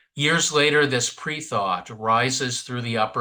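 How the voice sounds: What you hear is a natural reading voice.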